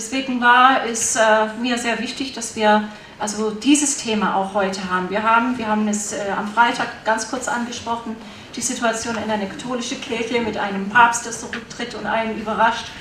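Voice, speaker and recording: A woman speaks at a fairly quick pace in a fairly high-pitched voice with monotone, flat intonation. Noticeable background noise is present. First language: German. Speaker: conference organizer and moderator. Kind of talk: opening welcome speech at a conference. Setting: conference hall with audience. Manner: formal, somewhat hesitant with fillers.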